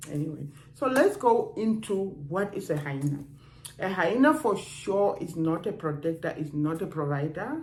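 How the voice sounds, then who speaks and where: A woman speaks at a fairly low pitch and a moderate pace. Room echo is audible. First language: not English. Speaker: dating and relationships vlogger. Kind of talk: casual advice talk to camera. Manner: conversational, with hesitations.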